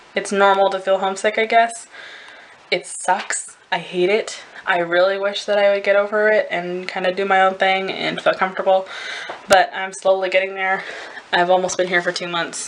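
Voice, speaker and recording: Against noticeable background noise, a woman with an American accent speaks at medium pitch and a moderate pace in a monotone, flat way. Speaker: au pair vlogger. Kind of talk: casual vlog. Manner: rambling, hesitant.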